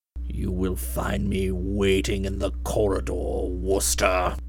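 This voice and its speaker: A man's quiet, rumbling put-on character voice at a fairly slow pace, with clear music in the background. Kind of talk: formal.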